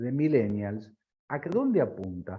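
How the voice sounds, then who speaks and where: Very wide pitch swings run through everything this man says. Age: 60s. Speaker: business consultant. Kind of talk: interview.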